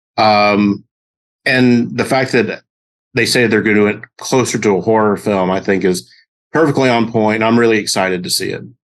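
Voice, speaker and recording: Against a quiet background, a man with a fairly low voice speaks at a moderate pace with ordinary pitch variation. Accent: American. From US South. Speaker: actor. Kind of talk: interview.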